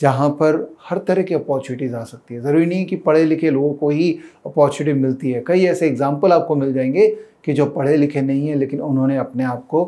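A man speaks at a fairly high pitch and a moderate pace. His intonation stays fairly even over a quiet background. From India. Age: 40s. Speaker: finance educator and YouTuber; finance educator, YouTuber. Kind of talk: personal monologue to camera. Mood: warm, earnest. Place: studio. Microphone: lapel.

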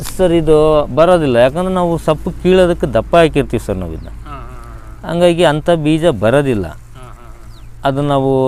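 Here a man speaks in a plain, everyday voice at a fairly high pitch. His pitch variation is ordinary. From India, Karnataka, Chitradurga district. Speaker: farmer. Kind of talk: interview.

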